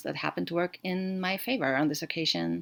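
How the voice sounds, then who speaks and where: In a German accent, a woman with a fairly low pitch speaks at a fairly quick pace with lively intonation. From Austria. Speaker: podcaster. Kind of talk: solo podcast monologue.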